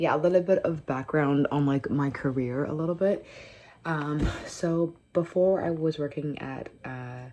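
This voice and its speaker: A woman's very deep, low voice with a Canadian accent, dark and mellow in tone, fairly even in intonation and fairly slow. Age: 20s. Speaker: vlogger. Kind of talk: casual chat. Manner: casual, with many fillers.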